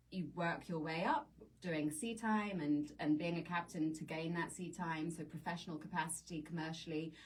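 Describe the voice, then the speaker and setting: A somewhat breathy woman in a British accent, fairly low in pitch, with fairly even intonation at a moderate pace. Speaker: sailing instructor and nonprofit director. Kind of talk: radio interview. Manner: halting.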